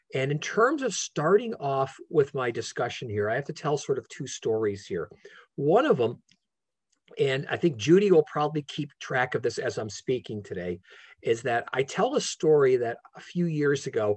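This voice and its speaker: A man talks at a moderate pace with very wide pitch swings and a somewhat breathy quality against a quiet background. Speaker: law professor giving a webinar talk. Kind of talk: lecture. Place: home room. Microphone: video call.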